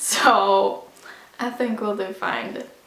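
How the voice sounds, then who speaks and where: Against noticeable background noise and audible room echo, a woman speaks with monotone, flat intonation. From Sweden. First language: Swedish. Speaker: vlogger. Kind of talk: casual sit-down vlog. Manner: casual, hesitant with fillers.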